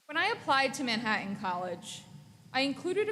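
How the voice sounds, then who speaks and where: A woman with an American accent is heard with audible room echo. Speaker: graduate student, valedictorian. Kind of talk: commencement speech. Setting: graduation ceremony.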